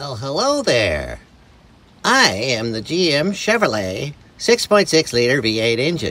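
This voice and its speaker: A man puts on a character voice, pitched in the middle range and delivered at a fairly slow pace. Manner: friendly greeting.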